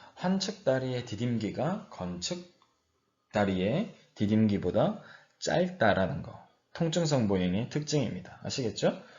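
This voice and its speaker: His pitch rises and falls in very wide swings. The speaker is a man. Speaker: university professor. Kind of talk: lecture. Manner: slower than usual today.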